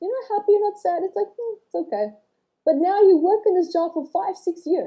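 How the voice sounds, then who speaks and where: A woman's extremely high voice with a dark, mellow tone, very wide pitch swings and a non-native accent. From South Africa and Australia. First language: not English. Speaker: author and trauma healing teacher. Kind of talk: podcast interview. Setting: livestream.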